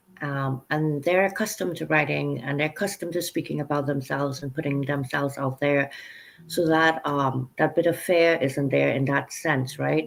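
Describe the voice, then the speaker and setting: A woman speaks with an American accent in a very deep, low pitch. Her intonation is fairly even, with vocal fry. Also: moderate pace. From Trinidad. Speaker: book coach and publisher. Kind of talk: interview conversation.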